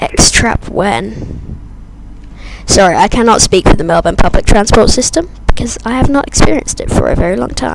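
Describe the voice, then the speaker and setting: Moderate pace over noticeable background noise. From Britain. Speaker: flight sim streamer. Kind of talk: live stream commentary. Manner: casual, chatty.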